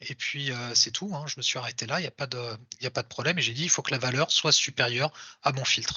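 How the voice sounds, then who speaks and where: Very fast speech from a man, pitch varying in an ordinary way. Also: medium pitch for a man. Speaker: software developer giving a tech talk. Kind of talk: live coding talk. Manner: casual with hesitations.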